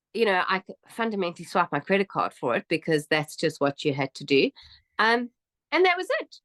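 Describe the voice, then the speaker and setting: A woman's animated voice in a South African accent, medium in pitch with very wide pitch swings, at a fairly quick pace, the sound dry and close with no echo. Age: 50s. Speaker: immigrant interviewee. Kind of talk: interview.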